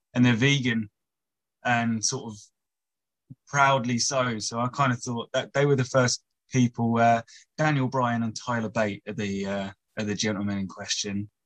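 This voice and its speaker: This man talks at a moderate pace and medium pitch, with fairly even intonation, long and frequent pauses, and a dry, close sound with no echo. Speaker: personal trainer. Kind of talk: casual chat, interview. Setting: video call on phone.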